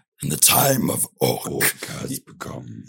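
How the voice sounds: A man uses a raspy, put-on character voice. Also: moderate pace.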